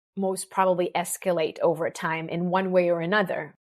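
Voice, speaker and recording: Someone speaks fairly slowly with an Israeli accent in a very clean recording with a silent background. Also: woman. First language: Hebrew. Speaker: business mentor. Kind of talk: podcast interview. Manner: halting, with restarts and fillers.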